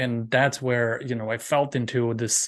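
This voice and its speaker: Speaking at a fairly slow pace, a man with a Romanian accent has a medium-pitched voice. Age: 40s. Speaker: professional speaker. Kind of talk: interview podcast.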